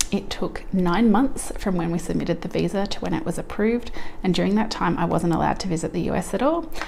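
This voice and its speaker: A woman with an Australian accent talks at a very fast pace. Audible room echo and noticeable background noise are present. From Australia, Melbourne. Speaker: couponing vlogger. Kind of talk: personal vlog.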